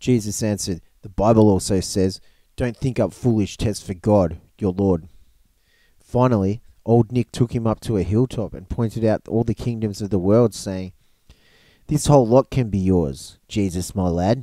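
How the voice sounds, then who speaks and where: Here a man with an Australian accent speaks at a moderate pace, his pitch fairly low and his tone dark and mellow. The sound is dry and close with no echo. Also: ordinary pitch variation, very clean recording, silent background. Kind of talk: audiobook reading.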